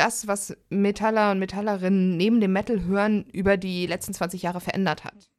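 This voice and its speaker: A plain, everyday voice with fairly even intonation at a moderate pace, on a very clean recording with a silent background. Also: woman. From Germany. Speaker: podcast host. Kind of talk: casual chat.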